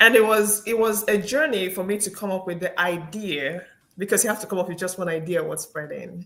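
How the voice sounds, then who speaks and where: Her bright, sharp tone carries as this woman talks at a fairly quick pace, medium in pitch with ordinary pitch variation. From Nigeria. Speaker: engineer and speaker. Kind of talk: interview conversation.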